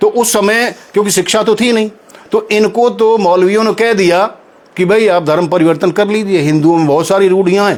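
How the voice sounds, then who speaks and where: Noticeable background noise beneath speech with ordinary pitch variation. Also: man. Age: 70s. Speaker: local historian. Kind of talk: interview.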